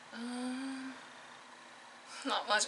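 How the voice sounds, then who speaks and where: A woman is talking. There is noticeable background noise behind her. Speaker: vlogger, nursing student. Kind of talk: casual vlog talk to camera. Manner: fast.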